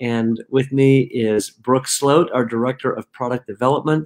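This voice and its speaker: The speaker is a man. He talks at a moderate pace. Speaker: company founder hosting a talk. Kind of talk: casual webinar introduction. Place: home room.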